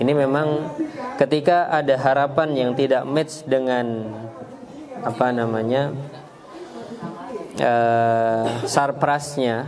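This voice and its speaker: Over noticeable background noise and audible room echo, a man speaks at a very slow pace with fairly even intonation and very even loudness. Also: medium pitch for a man. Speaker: Islamic preacher giving parenting talk. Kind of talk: Q&A answer in religious parenting talk. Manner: hesitant, many fillers.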